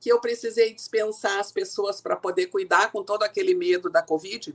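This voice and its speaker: Her voice sits fairly high for a woman. She swings her pitch very widely as she talks. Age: 60s. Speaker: communication coach and speaker. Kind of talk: interview.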